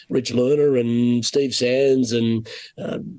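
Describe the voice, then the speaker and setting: A man speaks with an Australian accent. His tone is dark and mellow. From Australia (Sydney). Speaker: golf broadcaster. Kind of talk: casual chat.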